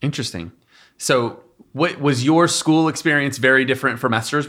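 On a very clean recording with a silent background, a man with an ordinary speaking voice talks at a fairly quick pace with fairly even intonation. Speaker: youth ministry podcast host. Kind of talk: casual panel discussion.

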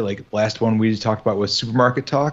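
With a Midwestern American accent, a man speaks at a fairly low pitch. His intonation stays fairly even. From US Midwest. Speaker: podcast co-host. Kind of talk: casual chat.

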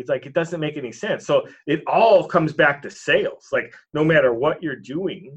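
Speaking in an American accent, a man's somewhat breathy voice rises and falls in a normal way. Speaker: real estate entrepreneur. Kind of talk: podcast interview.

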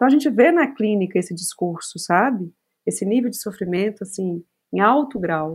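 A woman talks fairly quickly in a somewhat breathy voice. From Brazil, Minas Gerais (Belo Horizonte). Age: 40s. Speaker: psychologist. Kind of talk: casual chat.

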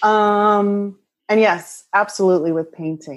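A woman with an American accent speaks at a fairly slow pace. The background is quiet. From central Pennsylvania, Lancaster County. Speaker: artist. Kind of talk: casual chat. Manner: animated.

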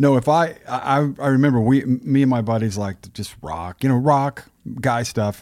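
With an American accent, a man speaks at a moderate pace in a normal speaking voice, with medium pitch and ordinary pitch variation. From Texas, US. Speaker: podcast host. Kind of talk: casual interview chat. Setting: studio.

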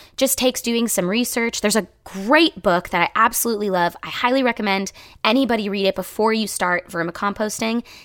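A woman's normal speaking voice, fairly high in pitch, at a fairly quick pace with hardly any pauses, very even loudness and ordinary pitch variation. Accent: American. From rural Ohio, east of Cleveland. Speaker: actor and sustainability podcast host. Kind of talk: casual interview chat.

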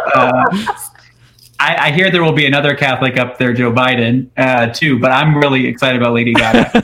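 A man with an American accent at medium pitch, fairly quick pace, fairly even intonation and very even loudness, over noticeable background noise. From Houston, Texas. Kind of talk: radio interview. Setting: remote call.

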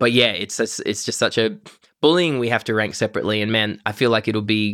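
In a very clean recording with a silent background, a man with an Australian accent speaks very fast at medium pitch. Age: 30s. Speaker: podcast co-host. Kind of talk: casual chat. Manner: halting, many fillers.

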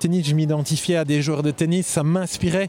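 Over noticeable background noise, a man with a fairly high voice talks at a moderate pace with fairly even intonation. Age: 40s. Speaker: tennis coach. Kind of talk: casual chat.

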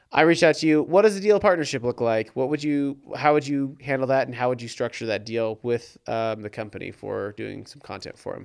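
A man's unremarkable speaking voice at a medium pitch and fairly quick pace, with lively intonation, big swings in loudness, hardly any pauses, and a very clean recording with a silent background. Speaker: podcast host. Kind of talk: casual interview chat. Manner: playful, jokey.

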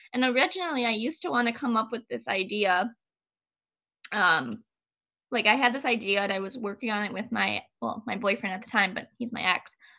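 A woman with a normal speaking voice talks at a fairly quick pace in a fairly high pitch, her intonation lively and her loudness swinging widely. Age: 20s. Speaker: podcast host. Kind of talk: casual chat.

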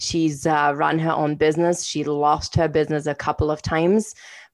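A woman with a non-native accent and a very deep, low pitch speaks at a fairly slow pace with fairly even intonation against a quiet background. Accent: non-Canadian accent noticeable. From outside Canada, immigrated at 21. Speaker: podcast co-host, coach and entrepreneur. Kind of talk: casual conversational podcast chat.

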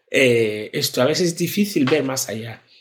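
A man speaks in a somewhat breathy voice at a fairly high pitch and a fairly slow pace. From Ghana, rural village. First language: a Ghanaian language (speaking Spanish). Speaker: social entrepreneur, NGO founder. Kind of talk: interview testimony.

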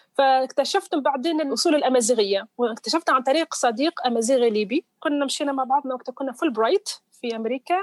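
Fairly quick delivery with ordinary pitch variation, the sound dry and close with no echo. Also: woman, high pitch for a woman. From southern Tunisia. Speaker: researcher and journalist. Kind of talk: interview. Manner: mixes English into Arabic.

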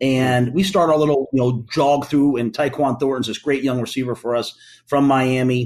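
A man speaks at medium pitch. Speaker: football head coach. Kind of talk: interview.

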